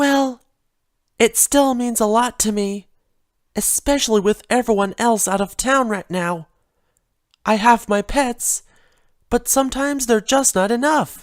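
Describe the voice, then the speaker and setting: A put-on character voice, fairly high in pitch, at a moderate pace with long, frequent pauses. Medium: read story. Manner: soft, timid.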